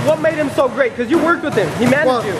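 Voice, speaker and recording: A man speaks with music in the background. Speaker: boxing trainer. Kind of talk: interview answer. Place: gym. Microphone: phone near.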